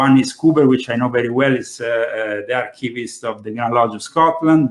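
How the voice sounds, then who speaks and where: The speaker talks at a fairly quick pace with an Italian accent. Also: man. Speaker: conspiracy talk show host. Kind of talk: panel discussion. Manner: hesitant, many fillers.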